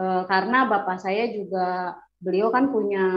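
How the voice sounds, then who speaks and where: Very slow pacing marks this woman's speech. Her pitch is medium, with ordinary variation. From West Java, Bandung (Sundanese). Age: 40s. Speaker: testimony giver, convert. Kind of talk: personal testimony. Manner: casual, hesitant with fillers.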